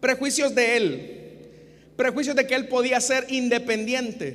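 With noticeable background noise, a man with a Salvadoran accent speaks at an extremely high pitch, a fairly slow pace and fairly even intonation. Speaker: pastor. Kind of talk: sermon, expository preaching to a congregation and radio listeners. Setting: church with live congregation, also broadcast on radio. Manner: earnest, didactic, rhetorical; repeats 'hermanos y hermanas' and pleads with the audience.

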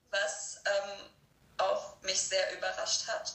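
A woman speaks at a very slow pace. There is noticeable background noise and audible room echo. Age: 30s. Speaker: podcast guest sharing law of attraction experiences. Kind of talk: casual interview chat.

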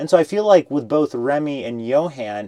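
Using a plain, everyday voice, a man speaks at a moderate pace with lively intonation, in a dry, close sound with no echo. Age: 30s. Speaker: podcast host. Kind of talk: interview. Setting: studio with cameras and mics.

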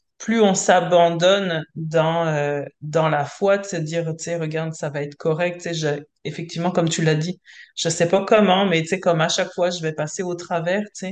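Monotone, flat intonation from a woman at a fairly low pitch and moderate pace. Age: 40s. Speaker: entrepreneur, coaching client. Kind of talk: casual chat.

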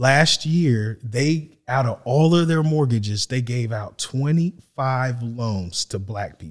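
A man with an American accent and a plain, everyday voice, medium in pitch with ordinary variation, at a fairly slow pace. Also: very clean recording, silent background. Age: 40s. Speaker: real estate agent and podcast co-host. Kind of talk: casual discussion.

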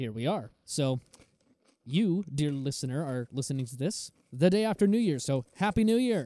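Swinging very widely in pitch, a man's dark, mellow voice comes through dry and close with no echo. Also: fairly high pitch for a man, moderate pace. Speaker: car podcast co-host. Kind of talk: casual chat. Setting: remote call.

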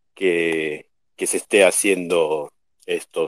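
A man speaks, and the sound is dry and close with no echo. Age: 50s. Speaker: artist. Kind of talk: casual chat.

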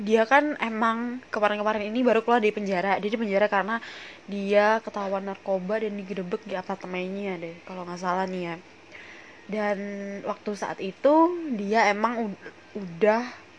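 With a strong Javanese accent, a woman speaks at a fairly quick pace and medium pitch, with ordinary pitch variation, big swings in loudness and noticeable background noise. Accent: strong Javanese-tinged Indonesian. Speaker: podcast host. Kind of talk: casual solo podcast chat.

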